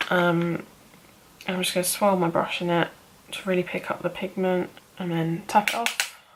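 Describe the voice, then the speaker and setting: Noticeable background noise accompanies a woman speaking at a fairly slow pace and a medium pitch in a monotone, flat intonation. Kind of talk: makeup tutorial talk-through. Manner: casual, relaxed.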